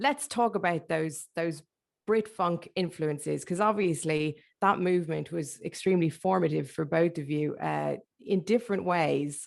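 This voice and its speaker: With vocal fry and ordinary pitch variation, a woman talks at a fairly low pitch and a moderate pace against a quiet background. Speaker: radio host interviewer. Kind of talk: interview. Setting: video call online event. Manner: loud.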